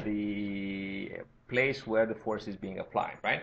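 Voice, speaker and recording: A man with a Romanian accent talks at a fairly slow pace. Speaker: university lecturer. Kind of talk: tutorial. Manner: halting.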